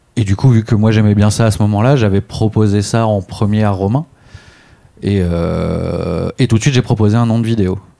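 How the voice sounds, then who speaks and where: With a plain, everyday voice, a man speaks at a moderate pace with fairly even intonation. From Réunion (childhood). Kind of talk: casual interview.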